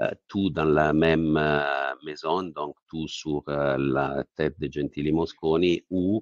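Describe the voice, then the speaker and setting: A man's very deep, low voice with an Italian accent, fairly even intonation and a very slow pace with hardly any pauses. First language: Italian (speaking French). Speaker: company CEO. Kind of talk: investor Q&A. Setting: webinar. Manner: halting.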